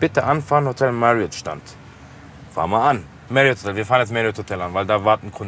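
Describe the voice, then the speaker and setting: A man talks fairly quickly in a normal speaking voice at a medium pitch. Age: 20s. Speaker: taxi driver. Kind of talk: casual chat. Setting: in a car.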